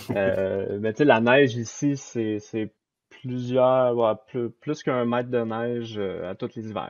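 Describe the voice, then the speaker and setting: A man with a Quebec accent speaks at a very slow pace and medium pitch, his intonation fairly even. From Quebec, Saint-Jérôme. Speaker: software developer. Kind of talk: casual chat.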